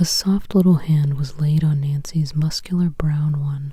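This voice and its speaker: A woman's very deep, low voice, dark and mellow, somewhat breathy, with a soothing, calm tone. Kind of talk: sleep story, audiobook reading.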